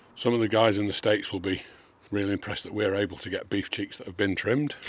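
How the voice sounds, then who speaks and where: This man talks at a very fast pace in a fairly low pitch, with fairly even intonation. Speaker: barbecue cooking youtuber. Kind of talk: cooking tutorial. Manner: casual, conversational.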